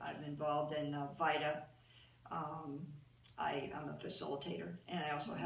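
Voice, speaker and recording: A woman with a very deep, low pitch and an American accent, at a moderate pace, with audible room echo and light background noise. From US Midwest (Cincinnati, Ohio); Ohio. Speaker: volunteer. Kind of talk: interview testimony. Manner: hesitant with fillers. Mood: warm, cheerful. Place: office. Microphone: camera far.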